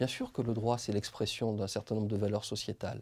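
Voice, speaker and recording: A man with a dark, mellow tone and fairly low pitch speaks in a monotone, with flat intonation. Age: 40s. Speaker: public prosecutor. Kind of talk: interview; interview answer. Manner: hesitant, many fillers; measured, reflective. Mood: calm, measured, thoughtful. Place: studio. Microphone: lapel.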